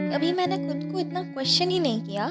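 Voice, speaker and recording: A woman is speaking. Music can be heard in the background. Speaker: spoken word poet. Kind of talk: spoken word poetry.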